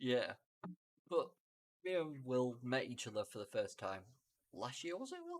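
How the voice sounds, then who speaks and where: A man with a British accent at a moderate pace, with long, frequent pauses. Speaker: podcast co-host. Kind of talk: casual chat. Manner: normal volume, fluent here.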